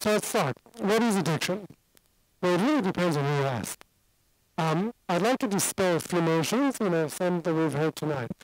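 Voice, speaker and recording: A man's high-pitched voice with lively intonation and very even loudness, dry and close with no echo, on a very clean recording with a silent background. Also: moderate pace. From Singapore. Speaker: addiction doctor and lecturer. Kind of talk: lecture.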